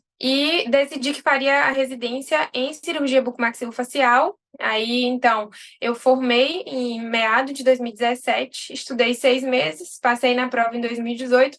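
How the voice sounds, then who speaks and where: Her pitch is high as this woman talks at a moderate pace. Her intonation stays fairly even. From Brazil, interior of Bahia. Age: 30s. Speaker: army dentist and dentistry teacher. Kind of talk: interview.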